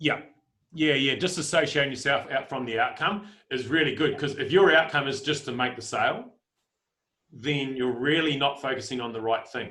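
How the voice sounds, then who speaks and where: A man's fairly high voice with a bright, sharp tone and ordinary pitch variation. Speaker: life coach. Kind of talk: team training talk. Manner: fast.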